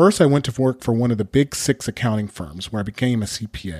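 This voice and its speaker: Speaking with a Californian accent, a man uses lively intonation at a medium pitch and a fairly quick pace. The recording is very clean and dry, close with no echo, and the background is silent. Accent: Californian American. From Southern California. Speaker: podcast host. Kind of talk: scripted monologue.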